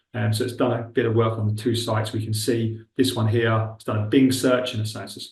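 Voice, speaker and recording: A man with a Buckinghamshire accent talks very fast at a medium pitch, somewhat breathy and flat in a monotone, with audible room echo. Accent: Milton Keynes. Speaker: webinar presenter on recruitment technology. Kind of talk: webinar tutorial with live demo. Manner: casual, conversational.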